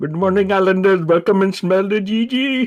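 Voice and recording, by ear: This man puts on a character voice pitched high, talking at a moderate pace.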